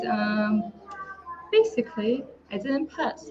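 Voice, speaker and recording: With a Lithuanian accent, a woman speaks at a fairly high pitch and with lively intonation. Background noise is noticeable. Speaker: online entrepreneur. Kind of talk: testimony. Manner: halting.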